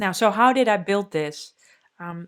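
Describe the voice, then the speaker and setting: At a moderate pace, a woman speaks with a Dutch accent. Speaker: developer advocate. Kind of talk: conference talk. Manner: casual, many fillers.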